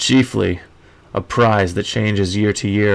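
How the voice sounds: The voice is a natural reading voice with fairly even intonation.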